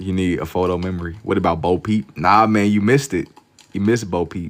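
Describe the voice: Speaking at a fairly quick pace, a man with a low voice keeps his intonation fairly even.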